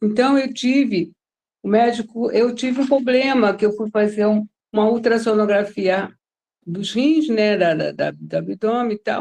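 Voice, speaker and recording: A woman speaks at a fairly slow pace with a dark, mellow tone. Her fairly high pitch moves with ordinary variation. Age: 60s. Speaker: study group participant. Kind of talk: testimony. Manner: halting.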